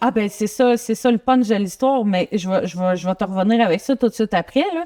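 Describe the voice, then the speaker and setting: In a Quebec accent, a woman talks at a fairly quick pace with a fairly high pitch and a dark, mellow tone. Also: ordinary pitch variation, dry, close sound with no echo. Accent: Québécois French. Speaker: guest sharing personal story. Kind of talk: interview testimony.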